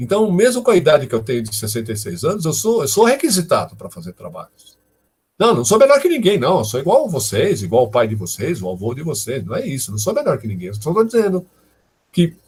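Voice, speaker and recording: Talking at a fairly quick pace, a man uses vocal fry, with very wide pitch swings and big swings in loudness. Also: fairly high pitch for a man. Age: 60s. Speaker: professor, data science lecturer. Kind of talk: live online lecture Q&A. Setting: live stream. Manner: conversational, many fillers.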